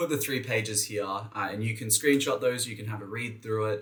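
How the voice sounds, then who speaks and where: With an Australian accent, a man talks at a fairly quick pace in a fairly low pitch. His tone is bright and sharp. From Western Australia (Perth). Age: 20s. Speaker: education youtuber, graduate student. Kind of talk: casual tutorial talk to camera. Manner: casual, brisk.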